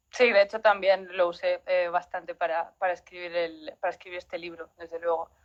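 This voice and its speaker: Her voice is fairly low, a woman speaking at a fairly quick pace in a monotone, flat intonation, recorded dry and close with no echo. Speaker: writer. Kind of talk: interview. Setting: live stream.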